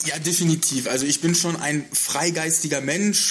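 A man speaks at a moderate pace with ordinary pitch variation against noticeable background noise. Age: 30s. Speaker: hotel sales and marketing manager. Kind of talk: casual interview. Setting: hotel lounge room.

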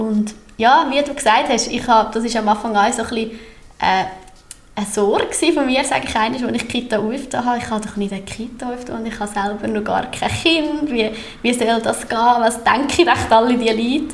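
Over noticeable background noise and audible room echo, a woman with a fairly high pitch speaks at a fairly quick pace with fairly even intonation. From Central Switzerland (Obwalden). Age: 30s. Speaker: daycare centre director. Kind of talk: podcast interview. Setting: newly renovated room, not a studio.

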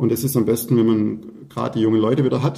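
Dark and mellow in tone with vocal fry, the voice moves at a very fast pace. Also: man. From Swabia, Württemberg (Fellbach near Stuttgart). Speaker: winemaker. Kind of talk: casual chat.

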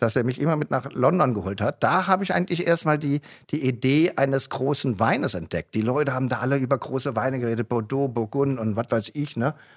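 Recorded very cleanly with a dry, close sound, no echo and a silent background, a man talks at a very fast pace with hardly any pauses, using a medium pitch and ordinary pitch variation. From Germany, Mosel region. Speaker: winemaker. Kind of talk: casual chat. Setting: studio. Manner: animated.

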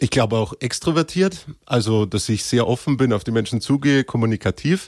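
A man at a medium pitch with a Bavarian accent, on a very clean recording with a silent background. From Bavaria, Upper Palatinate (Cham district). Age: 20s. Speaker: actor. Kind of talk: casual chat.

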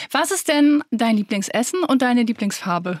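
A woman's voice is somewhat breathy. Her intonation is lively. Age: 30s. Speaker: podcast co-host, influencer. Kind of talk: casual chat.

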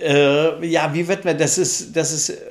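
A man talking at a very slow pace. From northern Germany (Flensburg). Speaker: theatre dramaturge. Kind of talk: podcast interview.

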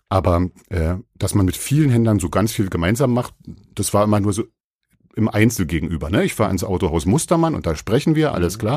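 A man's fairly low voice at a fairly quick pace, with very wide pitch swings, in a very clean recording with a silent background. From Brandenburg, Germany. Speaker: online car marketplace marketing manager. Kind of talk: casual interview chat. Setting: guest's company office.

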